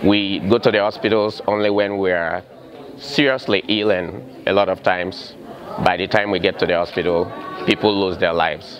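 Fairly low-pitched male speech at a moderate pace with ordinary pitch variation, crowd noise behind it. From Sierra Leone. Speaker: cardiac and intensive care nurse. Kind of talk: interview. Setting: community health fair. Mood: earnest, community-minded. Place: hall.

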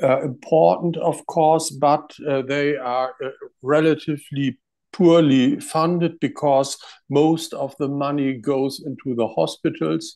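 In a German accent, the voice has a dark, mellow tone and fairly even intonation. The pace is fairly slow, and the background is quiet. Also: man, fairly high pitch for a man. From Germany. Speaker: doctor; webinar panelist. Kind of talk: panel presentation. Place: home room. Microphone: earbuds.

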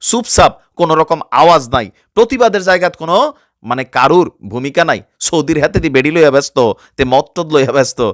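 On a very clean, dry, close recording with a silent background and no echo, a man speaks with a fairly high pitch and lively intonation. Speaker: news commentary YouTuber. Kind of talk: news commentary in regional dialect.

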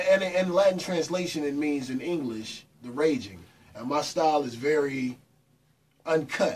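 With an American accent, a man speaks at a moderate pace with ordinary pitch variation and long, frequent pauses. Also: fairly high pitch for a man. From US South and New York. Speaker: radio personality and former rapper. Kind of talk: casual chat. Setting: studio with live audience. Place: studio.

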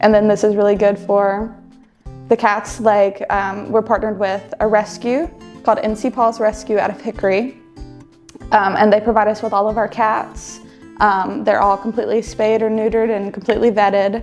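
Faint music plays in the background as a woman speaks at a moderate pace. Her intonation is monotone and flat. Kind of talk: interview answer. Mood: friendly, light laughter.

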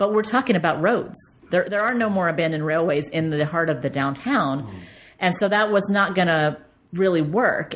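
A plain, everyday voice: a woman with an American accent, fairly low in pitch, with lively intonation at a moderate pace. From Texas, Dallas. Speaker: bicycle urban planner and author. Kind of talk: interview conversation. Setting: in person.

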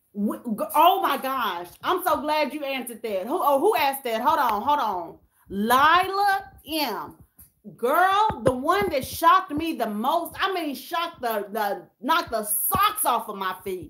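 A woman's high, raised and projected voice, animated and fairly slow, with very wide pitch swings over light background noise. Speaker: YouTuber hosting a livestream; YouTuber. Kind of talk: casual livestream chat with viewers. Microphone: phone near.

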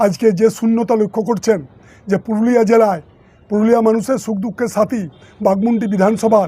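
This man's voice has a dark, mellow tone and sits high in pitch. His intonation stays fairly even. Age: 60s. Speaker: politician. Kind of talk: political statement. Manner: formal.

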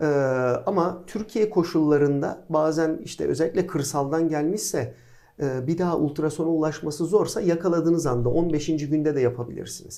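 A man with a fairly high pitch and a dark, mellow tone speaks at a moderate pace with ordinary pitch variation. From Izmir, Turkey. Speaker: pediatric orthopedic surgeon, professor. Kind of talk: casual interview.

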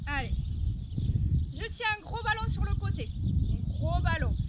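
A woman speaks very slowly, the sound dry with no echo but loud background noise behind it. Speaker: fitness instructor. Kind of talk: exercise class instruction. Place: open country.

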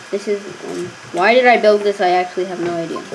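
Speech at a moderate pace sits over light background noise. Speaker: gamer narrating play. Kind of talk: casual gameplay commentary. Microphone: phone near.

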